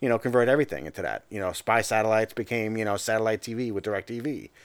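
A man talks at a very fast pace in a fairly low voice with ordinary pitch variation, on a very clean recording with a silent background. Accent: American. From Long Island, New York (Suffolk County). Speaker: political analyst. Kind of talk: casual chat.

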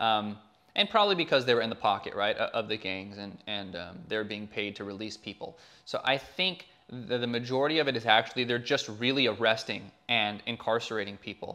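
A bright, sharp tone at a fairly quick pace. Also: man. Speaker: filmmaker. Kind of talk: casual interview chat. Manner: casual, filler-heavy.

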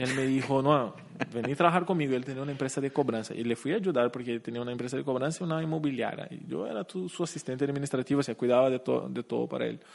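This man talks very fast. His medium pitch shifts with ordinary variation. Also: hardly any pauses. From Brazil, Curitiba. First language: Portuguese (speaking Spanish). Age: 30s. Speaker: company CEO. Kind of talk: interview. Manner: halting.

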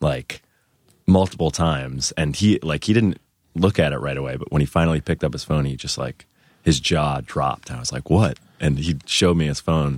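Vocal fry runs through this fairly quick delivery, which has ordinary pitch variation and a dry, close sound with no echo. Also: man. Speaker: podcast guest, guitarist in bands.

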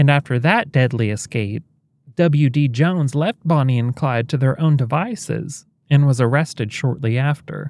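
A man speaks with a fairly high pitch. His pitch varies in an ordinary way, and his pace is moderate. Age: 30s. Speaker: podcast host. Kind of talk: scripted narration. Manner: animated.

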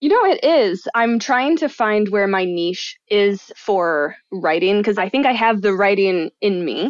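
A woman with an American accent talks in an ordinary speaking voice at a medium pitch. Her pace is fairly slow with lively intonation and hardly any pauses. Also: very even loudness. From Michigan. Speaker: enneagram coach and writer. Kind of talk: casual chat.

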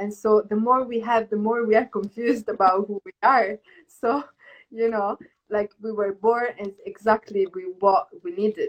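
A woman's unremarkable speaking voice, fairly high in pitch, at a moderate pace, with fairly even intonation, big swings in loudness and a dry, close sound with no echo. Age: 20s. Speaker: yoga teacher and dancer. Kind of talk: casual chat. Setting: Instagram live video stream.

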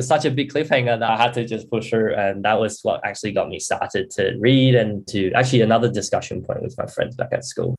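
Fairly quick delivery with vocal fry, big pitch swings and few pauses. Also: man, fairly low pitch for a man.

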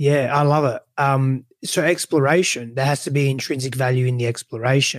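A man talks at a moderate pace with hardly any pauses and fairly even intonation. He has a medium pitch and a normal speaking voice. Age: 30s. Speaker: relationship coach. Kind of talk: interview.

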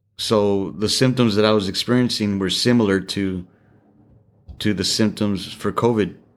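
A man's normal speaking voice, fairly low-pitched, with fairly even intonation. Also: moderate pace. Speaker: parent of host. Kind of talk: casual chat.

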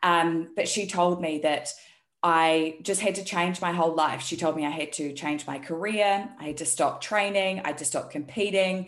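A woman with a New Zealand accent, fairly low in pitch, at a moderate pace with fairly even intonation. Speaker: health and performance coach. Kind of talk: casual interview chat.

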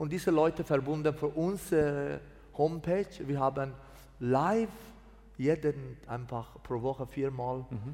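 A man with a Persian accent speaks at a fairly slow pace in a fairly high pitch. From Iran, Mazandaran. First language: Persian (speaking German). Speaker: pastor. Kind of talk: testimony. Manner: halting.

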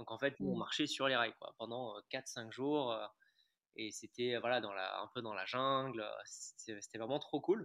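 In a normal speaking voice, a man talks at a fairly slow pace and medium pitch with fairly even intonation. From Paris and Ajaccio, Corsica. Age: 20s. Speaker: adventurer and author. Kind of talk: interview conversation.

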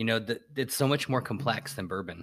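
Here is a man with an American accent and an ordinary speaking voice at a medium pitch. He moves at a fairly quick pace with ordinary pitch variation. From Southern California, Orange County. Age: 50s. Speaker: tequila enthusiast. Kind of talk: casual chat.

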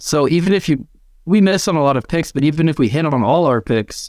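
A man's fairly high voice with lively intonation at a moderate pace, in a very clean recording with a silent background. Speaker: football fan panelist. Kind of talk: casual chat.

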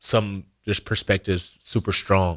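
A monotone, flat voice with an American accent comes through dry and close with no echo, on a very clean recording with a silent background. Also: man. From Arizona, US. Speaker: college football player. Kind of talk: radio interview.

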